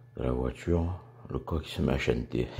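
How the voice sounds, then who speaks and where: A man's voice is dark and mellow in tone and somewhat breathy. His pitch varies in an ordinary way. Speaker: spearfishing vlogger. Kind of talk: vlog commentary. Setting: in a car.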